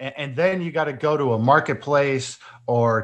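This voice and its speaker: With a quiet background, a man talks at a moderate pace in a plain, everyday voice, his pitch fairly high. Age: 40s. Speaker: esports team owner. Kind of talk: interview.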